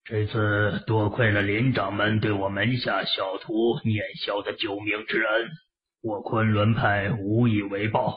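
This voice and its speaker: Fairly low in pitch, a man talks at a fairly slow pace with fairly even intonation. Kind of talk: classical wuxia formal speech. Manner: deferential, formal, cautious.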